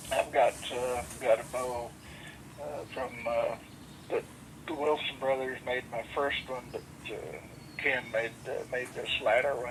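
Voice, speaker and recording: There is noticeable background noise. A man at medium pitch speaks at a fairly slow pace. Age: 80s+. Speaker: veteran bowhunter. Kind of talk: casual interview chat. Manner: halting.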